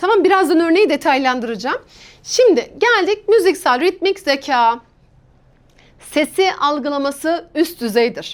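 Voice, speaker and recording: An animated woman with an extremely high pitch talks at a fairly slow pace, her pitch swinging very widely while her loudness stays very even. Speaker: exam prep teacher. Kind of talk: lecture.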